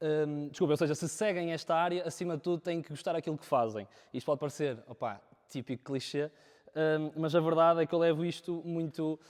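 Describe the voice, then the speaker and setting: A man's fairly quick speech moves through ordinary pitch variation. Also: fairly high pitch for a man. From northern Portugal, Viana do Castelo. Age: 20s. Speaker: videographer. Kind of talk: talk to a live audience. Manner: halting, many fillers.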